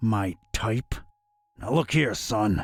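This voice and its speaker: A man puts on a raspy character voice at medium pitch. The sound is dry and close, with no echo. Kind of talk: hard-boiled detective. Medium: video game. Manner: terse, deadpan.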